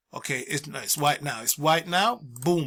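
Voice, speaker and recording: A man with a bright, sharp tone. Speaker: art tutorial teacher. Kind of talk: tutorial. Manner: fast; casual.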